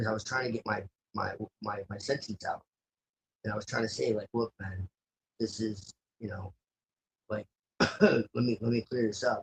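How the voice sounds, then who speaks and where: Fairly low in pitch and somewhat breathy, a man talks at a moderate pace. His intonation is monotone and flat, broken by long, frequent pauses. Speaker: voice chat participant. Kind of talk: heated debate. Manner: stammering repetitions.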